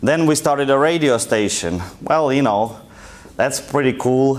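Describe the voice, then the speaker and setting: With a strong Russian accent, the speaker talks at a moderate pace with ordinary pitch variation, amid audible room echo and noticeable background noise. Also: man. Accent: thick Russian. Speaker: entrepreneur and guest lecturer. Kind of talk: lecture. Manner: casual, conversational.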